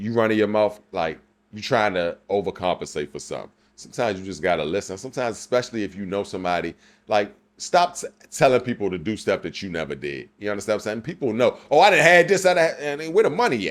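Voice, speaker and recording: A man with a fairly low pitch talks very fast, his pitch swinging very widely and his loudness shifting a lot. The recording is very clean, with a silent background. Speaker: podcast co-host. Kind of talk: casual chat. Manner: animated.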